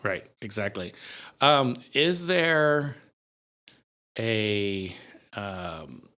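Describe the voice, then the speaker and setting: Speaking at a very slow pace with long, frequent pauses, a man uses a fairly low pitch and a bright, sharp tone, his pitch swinging very widely. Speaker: podcast host. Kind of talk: podcast conversation.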